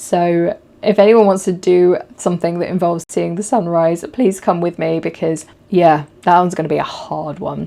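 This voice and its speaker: Dark and mellow in tone, a woman's voice sits fairly low in pitch, with fairly even intonation and a moderate pace. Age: 30s. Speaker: photographer and podcast host. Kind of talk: casual talk to camera.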